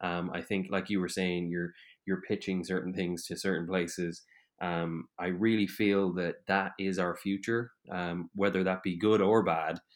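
In an Irish accent, a man with a very deep, low pitch talks at a moderate pace and fairly even intonation on a very clean recording with a silent background. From Ireland. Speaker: podcast host. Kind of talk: casual interview chat.

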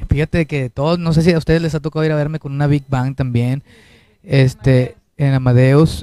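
Recorded with a dry, close sound and no echo, a man with a fairly high, dark, mellow voice speaks at a moderate pace with fairly even intonation. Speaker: singer. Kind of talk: interview.

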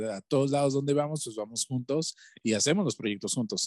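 A man at a medium pitch, in a dry, close recording with no echo. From Valles Centrales, Oaxaca, Mexico. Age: 20s. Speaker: musician. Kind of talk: interview.

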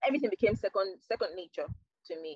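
Dry, close sound with no echo, a woman with a Nigerian accent and ordinary pitch variation. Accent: Nigerian (Yoruba) English. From southwestern Nigeria. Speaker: digital marketing professional. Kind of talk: interview. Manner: halting.

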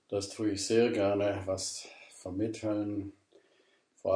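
A man speaks very slowly in a fairly low, dark, mellow voice that is somewhat breathy. His intonation stays monotone and flat. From southern Germany, Ravensburg (Swabia). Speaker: pastor. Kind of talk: interview. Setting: at his home.

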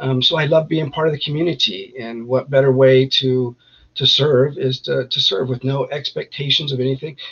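At a moderate pace, a man with a plain, everyday voice speaks in an American accent, his fairly high pitch carrying fairly even intonation. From Northern California, East Contra Costa County. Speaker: army veteran, veterans group founder. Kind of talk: interview.

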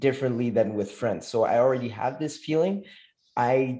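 With a French accent, a man speaks at a medium pitch in a dark, mellow tone. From France, Moroccan family. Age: 20s. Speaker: communication consultant. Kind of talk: casual chat.

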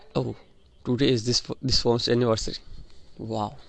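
At a moderate pace, a man speaks in a medium pitch with an Indian accent. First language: an Indian language (not English). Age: young (18). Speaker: student and podcaster. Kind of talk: personal monologue. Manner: halting, repeats words.

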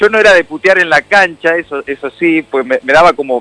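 A man speaks in a Rioplatense accent at a high pitch. The sound is dry and close, with no echo. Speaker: radio host. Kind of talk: casual interview chat.

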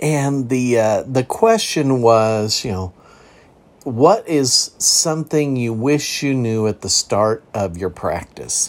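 At a very slow pace, a man talks at a medium pitch with ordinary pitch variation. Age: 60s. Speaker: podcast host, counselor-style mental health talk. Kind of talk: casual solo podcast talk. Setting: home recording.

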